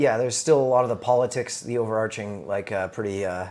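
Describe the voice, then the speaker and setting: A man with a Canadian accent, medium pitch, fairly even intonation and an unremarkable speaking voice. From Canada. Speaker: comedian. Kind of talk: casual chat. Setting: in his house.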